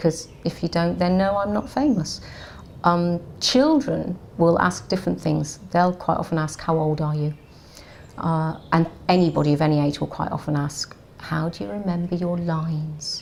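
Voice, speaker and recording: A woman's fairly low-pitched voice, an ordinary speaking voice, with ordinary pitch variation at a moderate pace. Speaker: actor and voiceover artist. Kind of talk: interview answer. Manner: chatty, self-deprecating.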